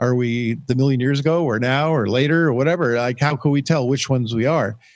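A man speaks at a moderate pace in an ordinary speaking voice, fairly high in pitch with ordinary pitch variation. The recording is very clean, with a silent background. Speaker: podcast co-host. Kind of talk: interview.

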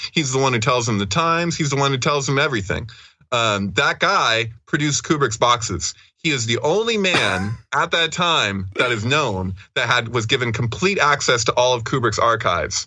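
A man with a plain, everyday voice speaks at a moderate pace and medium pitch, his intonation lively and his loudness very even. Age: 30s. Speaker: researcher of esoteric texts and synchronicities. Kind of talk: casual interview chat.

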